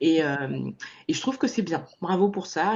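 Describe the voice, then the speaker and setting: At a moderate pace, a woman's voice moves through very wide pitch swings. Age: 30s. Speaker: podcast host. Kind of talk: podcast interview.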